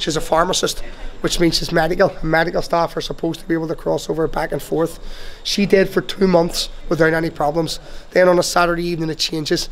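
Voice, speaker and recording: Against light background noise, a man talks very fast in a high pitch with a Belfast accent and a monotone, flat intonation. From Northern Ireland. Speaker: tour guide. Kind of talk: guided tour talk. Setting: in a taxi. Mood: grave storytelling. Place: street.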